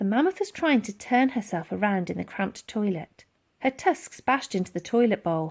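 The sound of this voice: A woman speaks at a moderate pace and medium pitch, her intonation lively and her tone slightly mellow.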